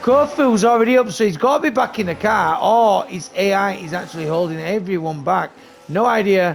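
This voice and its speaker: A man speaks at a fairly quick pace with a high pitch, an animated tone and lively intonation. There is noticeable background noise. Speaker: esports league race commentator and streamer. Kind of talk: live commentary.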